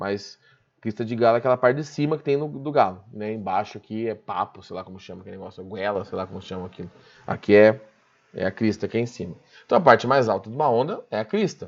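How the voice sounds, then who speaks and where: Over a quiet background, a man speaks very fast in a fairly low voice. His loudness swings widely. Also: ordinary pitch variation. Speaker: physics teacher. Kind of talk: online class lecture. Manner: informal, conversational.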